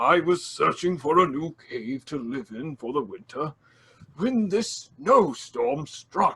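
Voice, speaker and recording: Putting on a character voice, a man speaks in a high pitch at a fairly slow pace. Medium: audio drama. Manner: polite, old-fashioned, soft-spoken.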